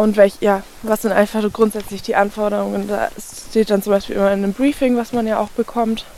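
Noticeable background noise beneath a fairly quick pace of speech. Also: woman. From Austria, Kleinwalsertal (Vorarlberg). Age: 20s. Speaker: outdoor content creator. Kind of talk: interview.

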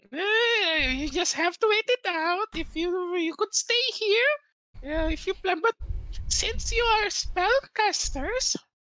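An extremely high-pitched put-on character voice speaks at a very slow pace. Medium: actual play. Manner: polite, slightly hesitant.

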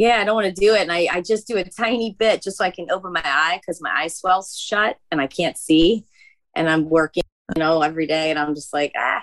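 Her voice is an unremarkable speaking voice, fairly low in pitch for a woman, moving at a fairly quick pace with ordinary pitch variation in a dry, close sound with no echo. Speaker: caller. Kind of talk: casual chat. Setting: video call.

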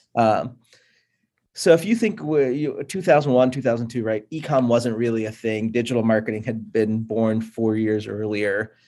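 In an American accent, a man speaks at a fairly slow pace with a dark, mellow tone, medium pitch and ordinary pitch variation, on a very clean recording with a silent background. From US Northeast (Pittsburgh, Buffalo NY). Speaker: agency founder. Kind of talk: interview.

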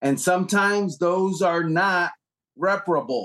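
A man talks in a high pitch at a fairly slow pace. The background is quiet. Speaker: NFL writer. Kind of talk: sports talk interview.

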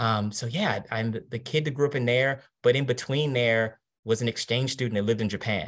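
In an American accent, a man talks in a normal speaking voice at a medium pitch with fairly even intonation. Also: fairly quick pace. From Washington DC. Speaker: marketing executive. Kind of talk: interview.

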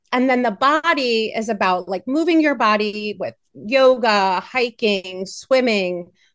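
Against a quiet background, a woman with an American accent uses a plain, everyday voice, fairly high in pitch, with lively intonation and a fairly slow pace that has hardly any pauses. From Pittsburgh, Pennsylvania. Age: 40s. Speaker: cannabis retreat founder. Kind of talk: interview.

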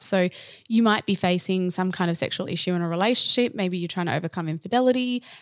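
At a very fast pace, a woman speaks with ordinary pitch variation, the sound dry and close with no echo on a very clean recording with a silent background. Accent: Australian. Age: 30s. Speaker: sexologist. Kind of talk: casual chat.

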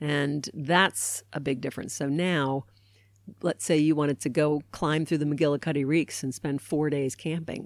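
A woman speaks with an American accent in a very deep, low pitch, her intonation fairly even. The recording is very clean, with a silent background. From Baltimore, Maryland, US. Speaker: guest. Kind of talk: casual chat. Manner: fast talker.

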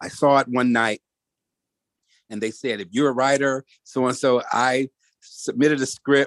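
Pausing long and often, a man with an American accent speaks at a medium pitch with fairly even intonation. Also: moderate pace, dry, close sound with no echo. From Detroit, Michigan. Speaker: screenwriter and producer. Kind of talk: casual chat.

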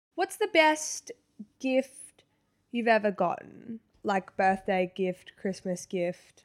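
In a dry, close sound with no echo, a woman with an Australian accent talks very slowly at a fairly high pitch, with lively intonation. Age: 20s. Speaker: podcast co-host. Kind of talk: casual chat.

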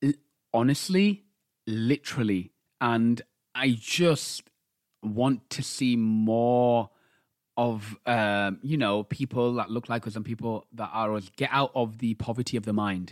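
Speaking with a British accent, a man keeps a fairly slow pace and ordinary pitch variation. The recording is very clean, with a silent background. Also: medium pitch for a man. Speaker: podcast co-host. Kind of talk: casual chat.

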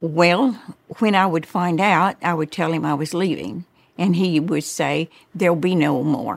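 A woman speaks at a fairly slow pace with vocal fry. Her pitch is fairly low, with ordinary variation. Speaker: interviewee, Don Lewis's ex-wife. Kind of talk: recalling interview.

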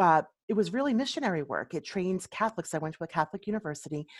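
The recording is dry and close, with no echo. A woman with a medium pitch speaks with lively intonation. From Philadelphia, US. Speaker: resume writer and coach. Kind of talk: interview.

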